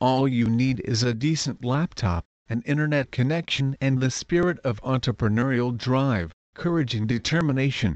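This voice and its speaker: A plain, everyday voice moves at a moderate pace with ordinary pitch variation. Its loudness stays very even throughout. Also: man, medium pitch for a man. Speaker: promoter. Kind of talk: sales pitch promoting a membership community. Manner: polished, persuasive, upbeat; steady, clear, scripted-sounding.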